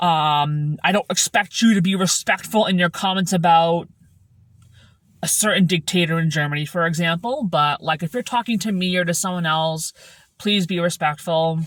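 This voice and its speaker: Somewhat breathy, a woman speaks with ordinary pitch variation on a very clean recording with a silent background. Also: fairly low pitch for a woman. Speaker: vlogger. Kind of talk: casual vlog monologue. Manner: slow, deliberate enunciation; hesitant with fillers.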